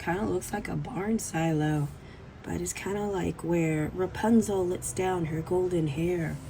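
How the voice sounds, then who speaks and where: Noticeable background noise runs under this recording. A woman speaks at a fairly slow pace with a fairly low pitch and ordinary pitch variation. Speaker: art teacher. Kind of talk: tutorial. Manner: casual, playful.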